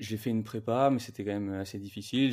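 Very clean audio, silent in the background, carrying a dark, mellow tone. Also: man. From Paris region, France. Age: 20s. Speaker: brand co-founder. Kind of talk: interview.

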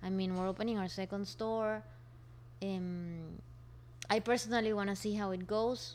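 A woman's medium-pitched voice with a Spanish accent, fairly even intonation, a moderate pace and long, frequent pauses. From Colombia, Barranquilla. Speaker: co-founder of a refill store. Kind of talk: interview.

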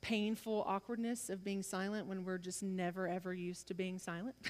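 Hers is an ordinary speaking voice, pitched in the medium range. The pitch moves up and down in an ordinary way. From US South. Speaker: preacher. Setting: church.

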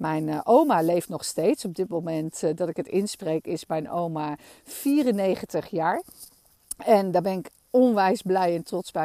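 Her dark, mellow voice sits at a fairly low pitch for a woman, moving at a fairly slow pace with lively intonation in a dry, close sound with no echo. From Netherlands, Amsterdam. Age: 40s. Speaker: podcast host. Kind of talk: personal storytelling monologue. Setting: outdoors in a meadow. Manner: animated.

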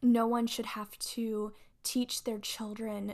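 A woman speaks very slowly in a fairly high, somewhat breathy voice. Her intonation is monotone and flat. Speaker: solo podcast host. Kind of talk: personal monologue. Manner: emotional, off the cuff.

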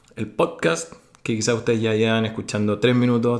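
Speaking at a fairly quick pace with a Chilean accent, a man keeps a fairly low pitch and a monotone, flat intonation. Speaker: podcast host. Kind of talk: casual interview.

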